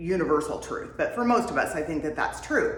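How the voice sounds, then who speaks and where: Audible room echo and noticeable background noise around a woman's voice. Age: 50s. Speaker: wellness vlogger. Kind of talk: casual talk to camera. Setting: home workout space. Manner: conversational, with many fillers.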